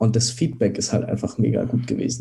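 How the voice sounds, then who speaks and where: Speaking in a flat monotone at a moderate pace, a man has a medium-pitched, somewhat breathy voice with a dark, mellow tone. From Germany, Dresden (Saxony). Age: 20s. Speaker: startup founder. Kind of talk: interview.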